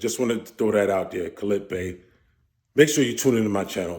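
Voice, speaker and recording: Very fast and fairly low-pitched, a man speaks with an American accent on a very clean recording with a silent background. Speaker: commentary vlogger. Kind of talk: casual monologue vlog.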